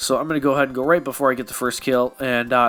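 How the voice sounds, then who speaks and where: A man's medium-pitched voice, very fast and monotone, over noticeable background noise. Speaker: app tutorial youtuber. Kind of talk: tutorial. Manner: casual, conversational.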